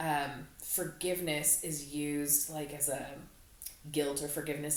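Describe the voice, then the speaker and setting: A woman with a very deep, low pitch at a fairly slow pace, with audible room echo and noticeable background noise. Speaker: podcast co-host. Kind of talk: casual chat. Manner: loud.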